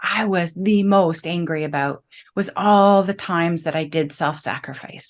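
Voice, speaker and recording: A woman with an ordinary speaking voice talks at a moderate pace and fairly low pitch on a very clean recording with a silent background. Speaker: health coach, podcast host. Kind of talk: conversational podcast interview talk.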